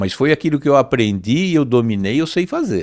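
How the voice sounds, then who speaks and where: With a plain, everyday voice, a man talks at a medium pitch and moderate pace with lively intonation in a very clean recording over a silent background. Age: 60s. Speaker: business owner, metalworks CEO. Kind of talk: interview conversation.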